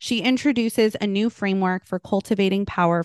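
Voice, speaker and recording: A woman with a medium-pitched, ordinary speaking voice talks at a fairly quick pace, recorded dry and close with no echo against a quiet background. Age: 30s. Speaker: podcast co-host. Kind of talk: interview, casual chat.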